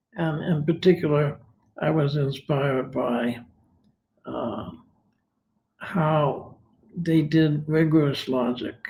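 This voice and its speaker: In an American accent, a man with a fairly high, somewhat breathy voice talks at a very slow pace. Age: 80s+. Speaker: retired philosophy professor. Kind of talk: interview. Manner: hesitant, many fillers.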